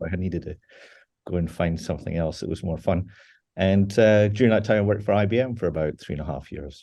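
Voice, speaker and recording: Over a quiet background, a man talks very fast in a very deep, low voice with a dark, mellow tone and ordinary pitch variation. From Scotland, central, near Loch Lomond. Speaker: data engineering executive. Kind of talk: interview. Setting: video interview.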